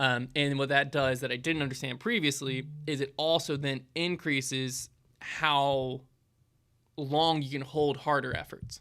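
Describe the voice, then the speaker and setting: A man speaks with a Southern US accent. His pitch is fairly high and his intonation fairly even. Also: very clean recording, silent background. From US South. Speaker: small business owner. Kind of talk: live Q&A stream. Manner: casual, filler-heavy.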